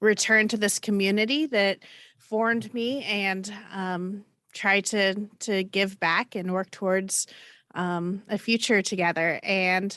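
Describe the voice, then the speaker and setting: A woman with a Midwestern American accent speaks at a very slow pace, her medium pitch and fairly even intonation carrying a bright, sharp tone. The background is quiet. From Indiana, US (Johnson County). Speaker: college chaplain and minister. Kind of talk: panel discussion. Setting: video call.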